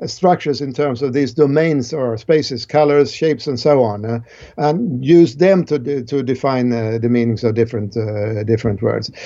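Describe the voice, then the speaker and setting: A man with a Swedish accent talks at a moderate pace in a dark, mellow tone with lively intonation. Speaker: cognitive science professor. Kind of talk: interview.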